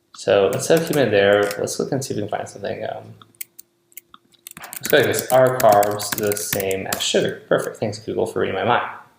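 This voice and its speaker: Quiet speech at a fairly quick pace, with audible room echo. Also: man. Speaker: online marketing coach. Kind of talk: screen-recorded tutorial. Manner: casual, thinking aloud.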